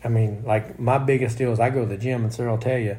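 With audible room echo around him, a man with an American accent speaks at a fairly quick pace in a dark, mellow, somewhat breathy voice of medium pitch. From Oklahoma. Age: 40s. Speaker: racing driver and podcast host. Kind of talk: casual chat. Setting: condo.

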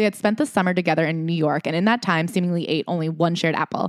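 In a very clean recording with a silent background and a dry, close sound with no echo, a woman speaks at a very fast pace, her fairly low voice holding fairly even intonation. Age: 20s. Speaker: podcast host. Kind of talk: casual chat.

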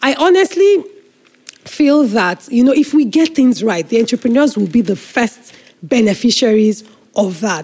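A woman with a Nigerian accent, high-pitched, at a moderate pace, with very wide pitch swings and very even loudness. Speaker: nonprofit executive director. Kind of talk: interview.

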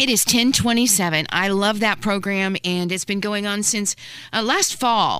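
A woman speaks at a fairly slow pace and a medium pitch. Her tone is bright and sharp. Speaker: radio host. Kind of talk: radio show hosting. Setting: radio studio.

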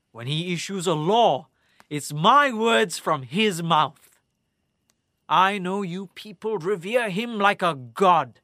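A man speaks very slowly in a raised, projected voice, high in pitch. His tone is bright and sharp, with very wide pitch swings. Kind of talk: dramatic audio-drama narration, played as a cocky prisoner. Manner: sardonic, theatrical, taunting, wry.

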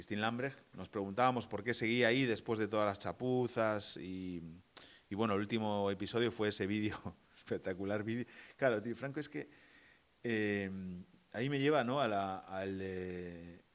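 In a very clean recording with a silent background, a man uses a normal speaking voice at a fairly low pitch with ordinary pitch variation. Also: moderate pace. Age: 40s. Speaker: podcast co-host. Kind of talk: casual political chat.

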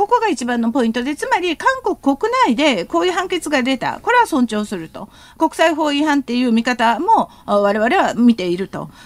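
A woman talks at a moderate pace with hardly any pauses, her high pitch making very wide swings in a dry, close sound with no echo. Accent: Korean. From South Korea. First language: Korean (speaking Japanese). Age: 50s. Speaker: professor. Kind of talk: radio interview, expert commentary.

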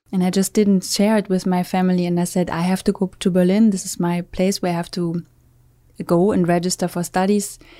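A woman with a German accent speaks in a medium pitch with a dark, mellow tone and monotone, flat intonation. Her pace is fairly quick, and the recording is very clean with a silent background. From Germany, Münsterland. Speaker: hotel co-founder. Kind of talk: interview. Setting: studio.

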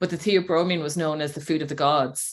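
With an Irish accent, a woman speaks in a very deep, low pitch with ordinary pitch variation on a very clean recording with a silent background. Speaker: healer and women's empowerment mentor. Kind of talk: casual interview chat.

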